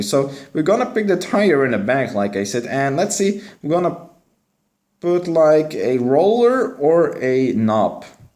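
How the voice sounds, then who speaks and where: Very wide pitch swings in a Dutch accent at a moderate pace, with audible room echo. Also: man. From Belgium, West Flanders. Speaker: gaming streamer. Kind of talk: live stream commentary. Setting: live stream. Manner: casual.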